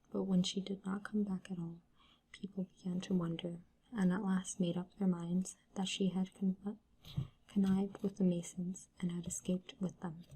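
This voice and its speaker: A soft-spoken delivery at a moderate pace. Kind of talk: soft-spoken ASMR story reading.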